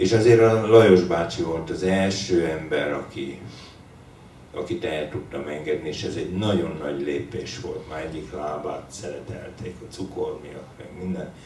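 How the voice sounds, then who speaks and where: A man speaks at a fairly slow pace with a very deep, low pitch and ordinary pitch variation. Light background noise and audible room echo surround him. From Hungary. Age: 60s. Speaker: writer. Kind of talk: book launch conversation. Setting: bookshop with audience. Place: shop.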